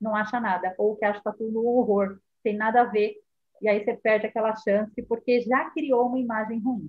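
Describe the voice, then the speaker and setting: A woman speaks in an ordinary speaking voice, pitched fairly high. Her pace is fairly quick and her intonation fairly even. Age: 40s. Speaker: marketing specialist. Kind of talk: casual chat. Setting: live stream.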